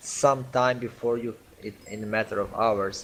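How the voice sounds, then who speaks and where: This man has a non-native accent. He talks at a very slow speed. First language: not English. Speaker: game community manager. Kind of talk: online community Q&A meeting. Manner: halting.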